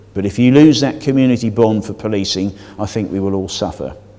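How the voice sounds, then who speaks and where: The speech moves at a fairly quick pace. Room echo is audible throughout. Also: man. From Devon. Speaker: police and crime commissioner. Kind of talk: public meeting presentation. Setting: public meeting hall with audience.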